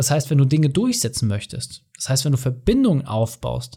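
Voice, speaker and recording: Here a man speaks in a dark, mellow, somewhat breathy tone with very wide pitch swings. The recording is very clean with a silent background. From Mecklenburg-Vorpommern, Germany. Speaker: business consultant and podcast host. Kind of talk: solo podcast monologue, coaching.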